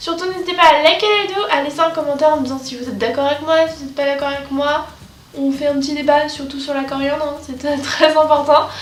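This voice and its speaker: A high-pitched woman's voice at a fairly quick pace, with noticeable background noise and audible room echo. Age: 20s. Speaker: YouTuber. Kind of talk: vlog monologue. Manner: fast; animated.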